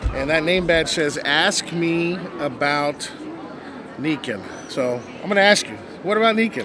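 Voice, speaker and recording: A fairly slow pace with long, frequent pauses, dry sound with no echo, and noticeable background noise. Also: man. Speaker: interviewer, roving host promoting local businesses. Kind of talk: live expo interview, upbeat promotional host. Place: hall. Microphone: handheld.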